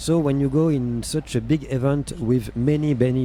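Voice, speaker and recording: Fairly even intonation in a French accent, with noticeable background noise. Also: man. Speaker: radio host. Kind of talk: interview. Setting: radio studio.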